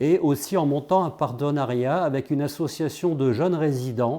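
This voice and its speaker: A man's dark, mellow tone at a fairly slow pace, with ordinary pitch variation, on a very clean recording with a silent background. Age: 60s. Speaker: volunteer electrical engineer. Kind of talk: interview. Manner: halting, frequent repetitions and hesitations.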